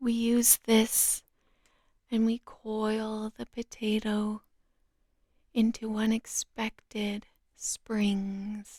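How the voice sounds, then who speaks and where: The speaker is soft-spoken and very slow. Long, frequent pauses break up the speech. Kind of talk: sleep story, slow soothing nonsense recipe narration. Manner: soft-spoken, slow, calming.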